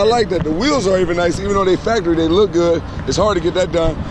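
The speech moves at a very fast pace over noticeable background noise, with a dry sound and no echo. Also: man. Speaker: car reviewer. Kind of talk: casual car review chat. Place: street. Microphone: phone near.

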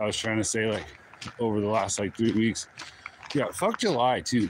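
Amid noticeable background noise, a man speaks fairly quickly in a relaxed tone, with fairly even intonation and very even loudness, in a dry recording with no echo. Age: 40s. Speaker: YouTuber vlogging while walking. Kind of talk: casual live-stream vlog. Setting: outdoors, walking. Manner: relaxed, rambling with laughs. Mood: candid, reflective. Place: forest. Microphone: phone near.

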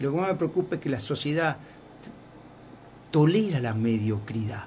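A somewhat breathy man at a moderate pace, his fairly high pitch carried by lively intonation. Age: 60s. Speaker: foundation director. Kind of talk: radio interview.

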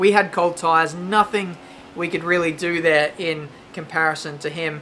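A woman's fairly low voice with an Australian accent, over music in the background. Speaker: gaming YouTuber. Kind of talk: gameplay commentary. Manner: animated.

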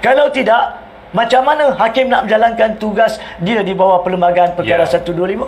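A man with a Malaysian accent talks at a moderate pace. His high voice has lively intonation. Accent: Malaysian Malay. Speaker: lawyer and legal commentator. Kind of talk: talk show legal explanation answering viewer questions. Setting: live talk show. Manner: explanatory, rhetorical. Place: studio. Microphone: lapel.

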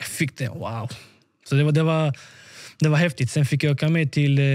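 Very fast and somewhat breathy, a man with a fairly high pitch speaks over a quiet background. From Sweden, Malmö; Sweden. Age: 20s. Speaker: professional footballer; podcast guest. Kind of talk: interview. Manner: halting, repeats words. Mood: animated, candid, at times defiant. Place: home room. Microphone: studio mic.

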